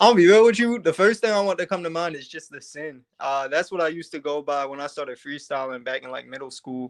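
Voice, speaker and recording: A man speaks very fast with a slight Baltimore accent and a fairly high pitch. His intonation is lively against a quiet background. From Baltimore, Maryland. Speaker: rapper. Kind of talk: casual interview. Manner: hesitant, many fillers.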